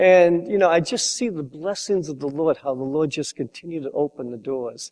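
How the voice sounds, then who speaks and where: Fairly high male pitch at a moderate pace, with ordinary pitch variation and a dry, close sound with no echo. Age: 60s. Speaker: pastor. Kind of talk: testimony. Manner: halting.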